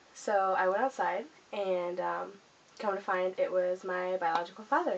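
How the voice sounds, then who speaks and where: Noticeable background noise sits behind a woman speaking at medium pitch and a moderate pace. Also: ordinary pitch variation, very even loudness. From Southern California. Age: 20s. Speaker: vlogger. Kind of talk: personal life story. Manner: hesitant, many fillers.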